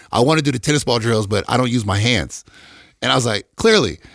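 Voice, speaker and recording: In an animated tone with lively intonation, a man with an American accent talks very fast with vocal fry. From Detroit, Michigan, US. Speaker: NFL athletic trainer. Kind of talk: casual chat. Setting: studio.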